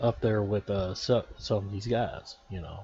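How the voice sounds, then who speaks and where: Speaking with a Texan accent, a man keeps a fairly low pitch and fairly even intonation. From Texas. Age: 40s. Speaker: gaming YouTuber. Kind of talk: casual video commentary.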